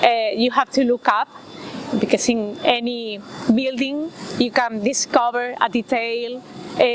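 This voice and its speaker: With a Spanish accent, a high-pitched woman speaks at a fairly slow pace, her intonation fairly even and her loudness very even, against noticeable background noise. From Spain. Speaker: writer. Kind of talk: interview. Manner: halting, many fillers.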